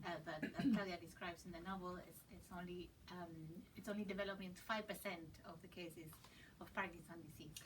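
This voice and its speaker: Audible room echo carries a woman's fairly low voice as she talks at a fairly quick pace with fairly even intonation. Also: big swings in loudness. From Argentina. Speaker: publisher and interpreter. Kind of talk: live interpreting. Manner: halting.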